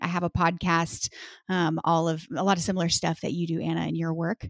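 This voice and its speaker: A woman with an American accent speaks at a moderate pace in a plain, everyday voice, fairly low in pitch, with a dry, close sound with no echo on a very clean recording with a silent background. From Texas. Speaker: business coach. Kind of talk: casual interview.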